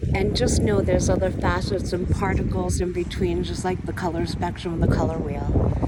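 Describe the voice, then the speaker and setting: A woman with an American accent at a fairly quick pace and hardly any pauses, amid noticeable background noise and audible room echo. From New York. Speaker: spiritual wellness vlogger. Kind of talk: casual talk to camera. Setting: outdoors by the water. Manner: occasional stumbles over words.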